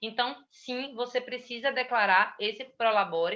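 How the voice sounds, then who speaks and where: A woman's plain, everyday voice, fairly high in pitch and fairly slow, with ordinary pitch variation. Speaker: tax instructor. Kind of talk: lecture.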